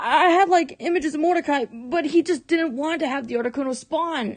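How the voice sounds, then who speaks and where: A woman is speaking. Her pace is moderate. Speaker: gaming youtuber. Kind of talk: gameplay commentary.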